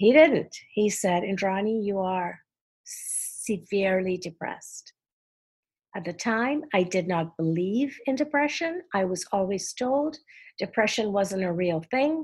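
A woman's somewhat breathy voice at a medium pitch, with lively intonation and a fairly slow pace. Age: 60s. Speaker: philanthropist and advocate. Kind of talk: interview conversation.

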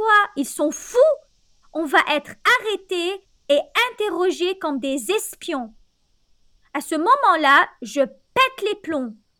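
Extremely high in pitch, a woman's raised, projected voice with a bright, sharp tone moves at a very slow pace through very wide pitch swings. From Lebanon. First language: Arabic (speaking Italian). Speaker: storyteller. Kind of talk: storytelling.

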